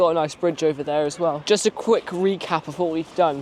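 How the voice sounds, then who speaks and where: Noticeable background noise runs beneath speech delivered fairly quickly. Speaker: travel vlogger. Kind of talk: casual vlog narration. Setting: outdoors.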